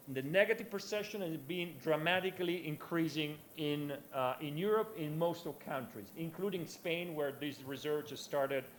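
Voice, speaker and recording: Recorded with audible room echo, a man with an Italian accent speaks at a fairly high pitch with ordinary pitch variation and hardly any pauses. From Italy. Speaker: conference speaker, researcher. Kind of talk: conference presentation. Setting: conference with audience. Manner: halting, many fillers; fast.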